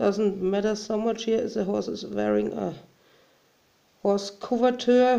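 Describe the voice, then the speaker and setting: Speaking at a fairly slow pace with long, frequent pauses, a woman is heard in audible room echo. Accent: German. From Germany. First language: German. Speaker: hobby crafter. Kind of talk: tutorial. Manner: halting.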